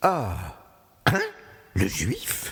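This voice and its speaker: A man doing a put-on character voice. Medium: stage play. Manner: stammering, repetitive.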